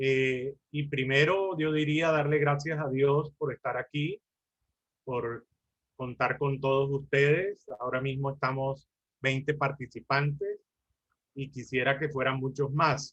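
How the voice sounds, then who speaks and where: A man speaks very slowly in a fairly high voice. His intonation stays fairly even. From Colombia. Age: 60s. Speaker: lawyer and mediator. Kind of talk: lecture.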